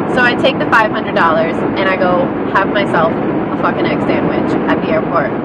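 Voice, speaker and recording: A woman talks at a fairly slow pace in a dry sound with no echo. Loud background noise runs underneath. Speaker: vlogger. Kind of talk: casual vlog chat. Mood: exasperated, storytelling. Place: car. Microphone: phone near.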